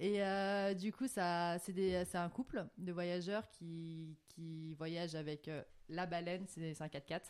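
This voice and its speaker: Very slowly, a woman speaks at a fairly low pitch with fairly even intonation. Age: 20s. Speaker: guest, digital marketing graduate. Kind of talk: casual chat.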